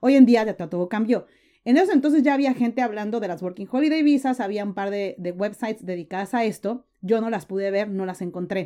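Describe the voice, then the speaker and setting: On a very clean recording with a silent background, a woman speaks fairly quickly in a fairly high pitch. Her tone is dark and mellow, with ordinary pitch variation. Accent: Mexican. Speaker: entrepreneur and content creator. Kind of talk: interview.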